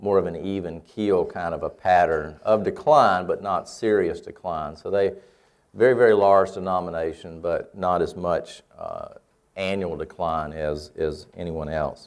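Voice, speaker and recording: A man speaks in a Southern US accent. His pace is fairly slow, and the background is quiet. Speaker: church researcher and lecturer. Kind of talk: lecture. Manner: halting with frequent fillers.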